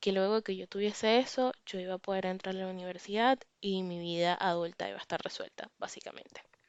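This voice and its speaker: This is a woman with an ordinary speaking voice. She talks at a moderate pace. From Venezuela. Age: 20s. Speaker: podcast host. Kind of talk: personal reflection monologue. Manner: casual, conversational.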